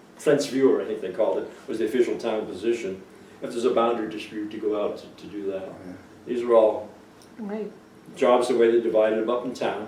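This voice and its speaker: Against noticeable background noise, a man with a New England accent talks at a very fast pace. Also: big swings in loudness. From Cape Cod, Massachusetts. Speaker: oral history interviewee. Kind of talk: interview answer.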